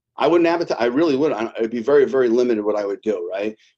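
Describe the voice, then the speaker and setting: A plain, everyday voice with ordinary pitch variation comes through over a quiet background. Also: man. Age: 50s. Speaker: real estate team leader. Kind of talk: interview.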